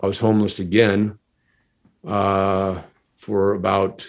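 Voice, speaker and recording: A man with an American accent, fairly low pitch, monotone, flat intonation, and long, frequent pauses. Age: 60s. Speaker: stuntman, comedy magician and army veteran. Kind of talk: podcast interview.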